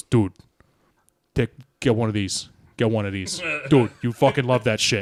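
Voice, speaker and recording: Putting on a raspy character voice at a medium pitch, a man speaks at a moderate pace with long, frequent pauses. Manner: pushy, salesman-like.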